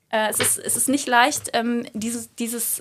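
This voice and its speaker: A woman talks with a fairly high pitch. Her pace is fairly slow. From Germany, Cologne. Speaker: yoga teacher and lawyer. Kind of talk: interview.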